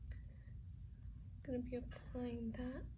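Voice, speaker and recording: A woman speaks over noticeable background noise. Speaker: beauty YouTuber. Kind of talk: casual makeup tutorial talk to camera.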